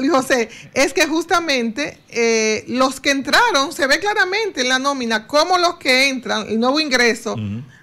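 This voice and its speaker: Projecting a raised voice, a woman speaks at a fairly slow pace with a high pitch, a bright, sharp tone and lively intonation. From Dominican Republic. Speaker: economist; guest. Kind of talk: radio interview. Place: studio. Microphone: studio mic.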